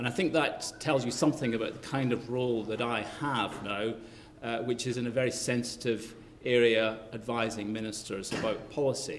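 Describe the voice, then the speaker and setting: Light background noise sits behind a man speaking at a moderate pace. His intonation is fairly even. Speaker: keynote speaker. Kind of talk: lecture. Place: hall.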